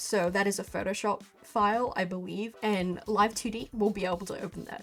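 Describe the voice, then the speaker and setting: A fairly high-pitched woman at a fairly quick pace, with music in the background. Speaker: digital artist and animator. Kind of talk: casual software tutorial talk. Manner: casual, informal.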